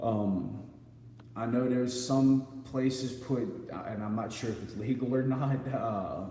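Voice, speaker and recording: There is noticeable background noise. The room echo is audible too. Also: man. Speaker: live streamer. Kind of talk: casual chat reading viewer comments. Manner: halting, stuttering.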